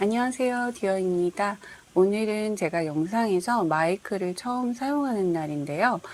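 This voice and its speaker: A woman with a medium pitch and lively intonation speaks at a moderate pace. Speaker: crochet tutorial creator. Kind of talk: tutorial.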